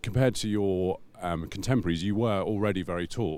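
A man's ordinary speaking voice, fairly low in pitch, with ordinary pitch variation at a fairly quick pace. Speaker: magazine editor and podcast host. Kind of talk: interview. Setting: hotel room, filmed.

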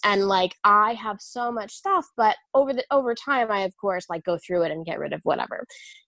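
In an unremarkable speaking voice, a woman talks at a fairly high pitch and moderate pace with ordinary pitch variation, the sound dry and close with no echo. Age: 30s. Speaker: friend and former colleague. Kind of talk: casual chat. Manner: chatty, talkative, self-deprecating.

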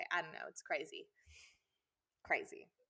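A woman speaks with a Texan accent. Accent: Texan American. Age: 20s. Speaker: podcast co-host, elementary school teacher. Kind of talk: casual chat.

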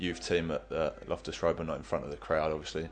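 Very deep and low, a man's voice with an English accent holds fairly even intonation. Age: 20s. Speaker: professional goalkeeper. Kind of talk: interview.

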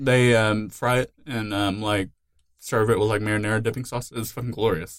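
A man with a fairly low pitch has an ordinary speaking voice. He keeps a moderate pace and fairly even intonation. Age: 20s. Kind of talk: casual chat.

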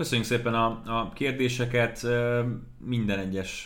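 A man's voice comes at a moderate pace, with audible room echo around it. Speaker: NFL podcast host and sports commentator. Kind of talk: casual sports podcast chat.

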